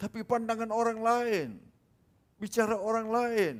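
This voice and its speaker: A man at a moderate pace. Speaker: preacher. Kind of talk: sermon.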